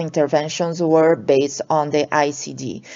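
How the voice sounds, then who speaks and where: A woman speaks with a Portuguese accent. Her pace is fairly slow. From Brazil. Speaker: allergist and researcher. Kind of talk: lecture. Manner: halting, many fillers.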